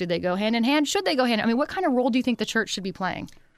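The recording is very clean with a silent background. A woman speaks with an American accent at a fairly high pitch. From Pennsylvania. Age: 30s. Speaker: radio and podcast host. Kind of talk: interview. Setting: studio.

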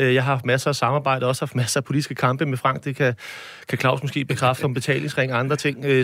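A man speaks at a very fast pace. His medium-pitched voice stays monotone and flat. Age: 40s. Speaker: mayor. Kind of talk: panel discussion. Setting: studio.

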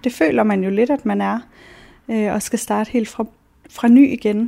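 A woman's dark, mellow tone. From central Jutland, Denmark. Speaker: model and cosmetologist. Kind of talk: documentary interview.

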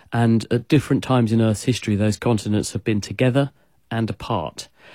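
A man with a British accent talks at a fairly quick pace, his medium-pitched voice dark and mellow in tone with ordinary pitch variation, in a dry, close sound with no echo. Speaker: science expert answering listener questions. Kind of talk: radio call-in Q&A explanation. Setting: radio studio or remote line.

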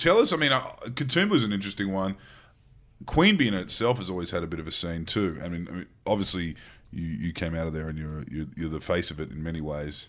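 Very deep and low in pitch, a man with an Australian accent speaks at a very fast pace with lively intonation. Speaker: podcast co-host. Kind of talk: casual chat.

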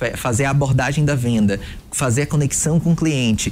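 A man with a fairly high pitch has a normal speaking voice. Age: 20s. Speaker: sales positioning mentor. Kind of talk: interview conversation.

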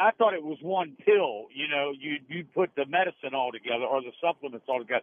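Speaking at a fairly quick pace, a man uses a plain, everyday voice with lively intonation. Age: 60s. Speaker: radio caller. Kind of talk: call-in question to radio doctors. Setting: phone call.

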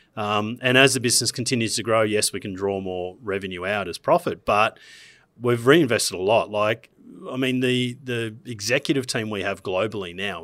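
Speaking at a moderate pace, a man with an Australian accent has a fairly low pitch and ordinary pitch variation. The recording is very clean, with a silent background. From Queensland, Australia (Gold Coast). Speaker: business founder. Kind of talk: interview.

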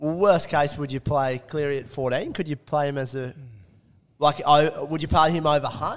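A man with an Australian accent, fairly high in pitch, at a moderate pace with fairly even intonation. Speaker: sports podcast co-host. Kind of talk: casual chat.

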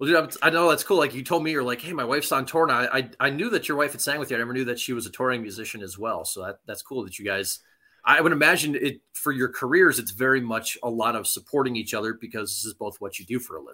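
An upbeat, very fast man's voice with an American accent, medium pitch, lively intonation, big swings in loudness and a bright, sharp tone on a very clean recording with a silent background. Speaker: radio host. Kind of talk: casual interview chat. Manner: friendly, upbeat.

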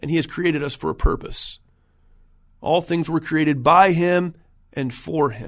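A man with an American accent speaks at a moderate pace in a fairly high voice with fairly even intonation. He leaves long, frequent pauses. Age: 40s. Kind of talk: solo podcast monologue.

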